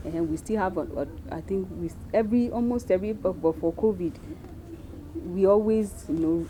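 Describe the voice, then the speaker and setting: Speaking at a moderate pace with a Nigerian accent, a woman is heard against noticeable background noise. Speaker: missionary. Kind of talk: interview.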